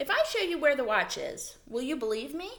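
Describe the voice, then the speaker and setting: A squeaky, high-pitched put-on character voice at a fairly quick pace. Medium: read story. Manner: indignant, self-assured.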